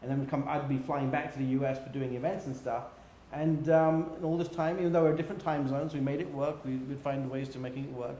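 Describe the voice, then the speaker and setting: A man with a British accent speaks at a fairly quick pace in a fairly high pitch with fairly even intonation, with audible room echo and noticeable background noise. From England. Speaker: business executive. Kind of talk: interview. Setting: livestream.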